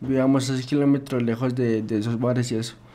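A man with an unremarkable speaking voice, medium in pitch, at a fairly quick pace. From Bogotá, Colombia. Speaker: music producer and guitarist. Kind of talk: interview conversation.

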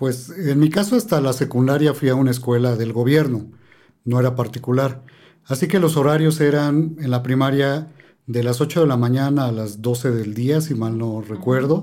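Audible room echo follows a man's medium-pitched voice, dark and mellow in tone, at a moderate pace. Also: ordinary pitch variation. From Mexico City. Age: 50s. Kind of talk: casual chat.

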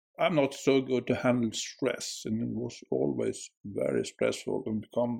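A man speaks with a Swedish accent. His pace is fairly slow. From Sweden. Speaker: school worker. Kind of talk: casual chat.

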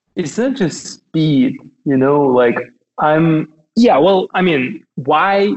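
The speaker has a Russian accent. The intonation is lively. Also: man, very even loudness. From Russia (Kaliningrad region). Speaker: tech company founder. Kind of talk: casual interview chat. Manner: hesitant, repeats words.

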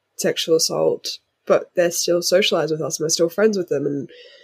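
An Australian accent in a dry, close sound with no echo. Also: woman. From Australia, Sydney eastern suburbs. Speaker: activist. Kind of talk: interview.

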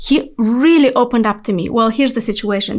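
A woman speaks with a non-native accent. The recording is very clean, with a silent background. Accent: foreign-accented English. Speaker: podcast host. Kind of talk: interview. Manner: enthusiastic.

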